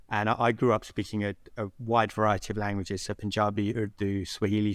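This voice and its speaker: A man in a London accent, fairly low in pitch and monotone, at a fairly quick pace, on a very clean recording with a silent background. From West London (Southall), England. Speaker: social entrepreneur, founder. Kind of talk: podcast interview. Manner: hesitant, many fillers.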